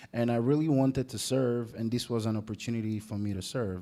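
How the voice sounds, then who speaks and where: This man speaks at a moderate pace in a dark, mellow tone with ordinary pitch variation. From Italy (Rome). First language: Italian. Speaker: navy veteran. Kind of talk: panel discussion.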